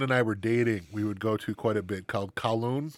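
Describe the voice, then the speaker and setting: A man with an American accent and a normal speaking voice, medium in pitch, at a fairly quick pace on a very clean recording with a silent background. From Wisconsin. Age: 40s. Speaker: podcast co-host. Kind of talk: casual chat.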